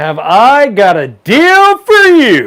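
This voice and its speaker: The voice is a put-on character voice pitched high. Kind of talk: salesy, pitchy.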